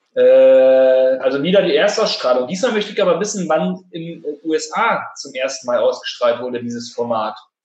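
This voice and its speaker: Talking at a moderate pace with hardly any pauses, a fairly high-pitched man makes very wide pitch swings. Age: 30s. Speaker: podcast host. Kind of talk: casual chat. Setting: recording from home during quarantine.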